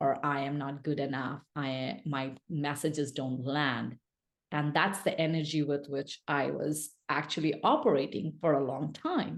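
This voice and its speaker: Someone with a non-native accent speaks at a fairly slow pace with fairly even intonation. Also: woman, very deep, low pitch for a woman. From India. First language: not English. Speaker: speaker and business coach. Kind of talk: podcast interview. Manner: halting, many false starts and fillers.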